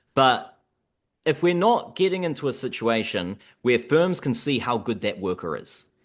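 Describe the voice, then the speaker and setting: A man with a New Zealand accent, fairly high in pitch, with vocal fry and very wide pitch swings, at a moderate pace over a quiet background. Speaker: economics researcher. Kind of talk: podcast discussion.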